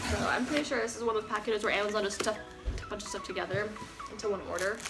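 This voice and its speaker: A woman speaks with music in the background. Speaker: vlogger. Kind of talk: casual vlog chat. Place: home room. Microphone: camera far.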